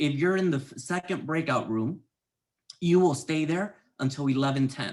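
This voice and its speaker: This is a man's voice with a fairly high pitch. His pitch varies in an ordinary way. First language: not English. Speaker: workshop moderator. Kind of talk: event announcements.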